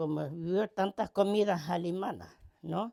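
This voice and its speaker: Against a silent background in a very clean recording, a dark, mellow tone moves at a very slow pace with ordinary pitch variation. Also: woman. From Argentina, Volga German village (Pueblo Santa María). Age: 80s+. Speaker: home cook. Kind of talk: cooking demonstration with reminiscences. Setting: home kitchen. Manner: halting, with repetitions and fillers.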